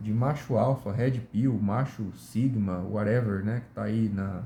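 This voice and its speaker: A man's dark, mellow voice, somewhat breathy, with ordinary pitch variation. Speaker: YouTuber. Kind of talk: casual monologue. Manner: relaxed.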